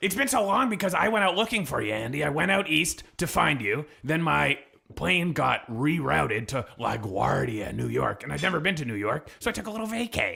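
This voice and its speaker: Putting on a raspy character voice, a man speaks deadpan at a fairly quick pace and fairly high pitch. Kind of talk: comic improv. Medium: game stream. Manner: rambling, deadpan absurd.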